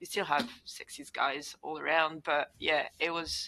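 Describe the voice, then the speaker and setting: A woman's fairly low-pitched voice with a bright, sharp tone at a fairly slow pace. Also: quiet background. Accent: French. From France, Paris suburbs. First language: French. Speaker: engineer and roller derby athlete. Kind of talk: interview conversation.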